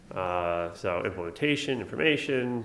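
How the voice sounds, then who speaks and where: With lively intonation and an American accent, a man talks amid audible room echo. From New York. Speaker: nursing professor. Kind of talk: conference talk. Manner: fast.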